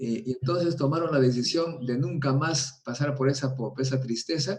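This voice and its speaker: With a dark, mellow tone, a man talks in a somewhat breathy way at a medium pitch. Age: 70s. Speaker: nuclear physicist. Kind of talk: interview. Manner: animated.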